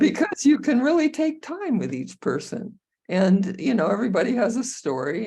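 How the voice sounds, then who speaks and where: A woman with a dark, mellow, somewhat breathy tone talks at a moderate pace, her pitch swinging very widely. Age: 80s+. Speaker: co-housing community resident. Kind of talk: interview conversation. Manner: halting, many filler words.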